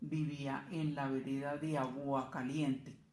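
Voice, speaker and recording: Very slow speech from a woman amid audible room echo. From Colombia, Cundinamarca (Chocontá). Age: 70s. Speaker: interviewee, grandmother. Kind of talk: interview. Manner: halting.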